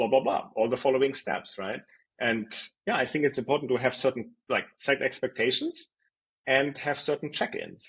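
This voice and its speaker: A man speaks with a German accent at a medium pitch. His pace is moderate and his intonation fairly even. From Germany. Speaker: design executive. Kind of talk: interview. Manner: conversational with fillers and repetitions.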